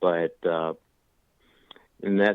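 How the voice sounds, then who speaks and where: At a fairly slow pace, a man talks in a normal speaking voice with fairly even intonation. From Washington DC area. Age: 40s. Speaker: recovering addict. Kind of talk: interview.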